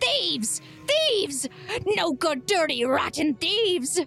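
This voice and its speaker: Over clear background music, a female-sounding, put-on character voice shouts at a high pitch for a woman and a fairly slow pace. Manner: screaming, outraged.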